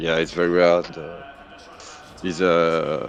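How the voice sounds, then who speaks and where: A fairly slow pace in a French accent, with music in the background. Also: man. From France. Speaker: sim racing driver. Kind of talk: post-race interview. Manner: halting.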